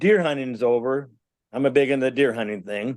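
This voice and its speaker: Against a quiet background, a man with a Minnesota accent speaks at a fairly high pitch. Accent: Upper Midwest (Minnesota). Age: 60s. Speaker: musician and Bigfoot witness. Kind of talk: interview storytelling.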